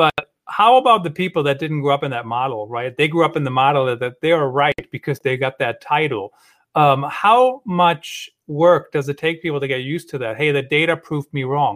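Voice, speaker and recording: Speaking at a fairly quick pace with a Western European accent, a man uses ordinary pitch variation at a fairly high pitch. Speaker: podcast host. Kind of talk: live-streamed interview chat. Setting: live video stream from a studio.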